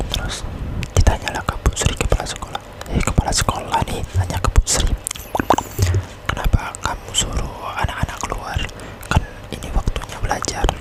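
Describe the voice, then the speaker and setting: A whisper proceeds at a moderate pace, broken by long, frequent pauses. Background noise is clearly present. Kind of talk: ASMR horror story narration for sleep. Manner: stiff, hesitant delivery.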